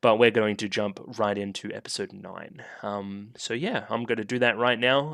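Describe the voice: Putting on a raspy character voice at a medium pitch, a man speaks at a moderate pace with ordinary pitch variation and hardly any pauses against a quiet background.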